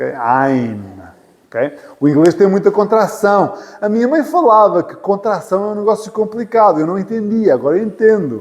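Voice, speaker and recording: This man speaks with a European Portuguese accent. His pitch is high, and his intonation is lively. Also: moderate pace. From Portugal. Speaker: English teacher. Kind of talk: lecture. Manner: repetitive.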